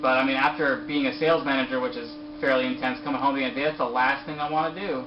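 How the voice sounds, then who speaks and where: A man speaks at a very fast pace, his fairly high pitch held in a monotone, flat intonation. Audible room echo and noticeable background noise fill the recording. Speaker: sales manager and aspiring actor. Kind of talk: interview. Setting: video call.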